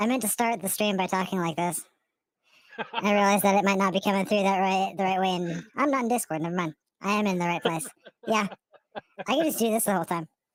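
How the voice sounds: A squeaky, put-on character voice delivered at a very fast pace. Long pauses break it up often. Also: female-sounding voice, medium pitch for a woman.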